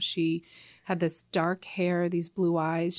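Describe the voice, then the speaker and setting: A woman with a normal speaking voice, fairly low in pitch, with an American accent, in a dry, close sound with no echo on a very clean recording with a silent background. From Connecticut, US. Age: 40s. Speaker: nonprofit founder. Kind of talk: interview.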